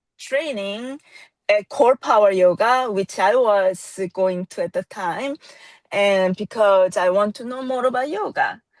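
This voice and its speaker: In a dry, close sound with no echo and a quiet background, a woman with a Korean accent speaks fairly slowly at medium pitch with ordinary pitch variation. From South Korea. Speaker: yoga teacher. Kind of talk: casual interview. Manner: hesitant, many fillers.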